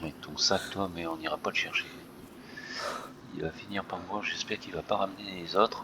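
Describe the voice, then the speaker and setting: Over noticeable background noise, a man with a very deep, low pitch speaks at a fairly quick pace in a monotone, flat way, broken by long, frequent pauses. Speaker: gaming streamer. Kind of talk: gameplay commentary.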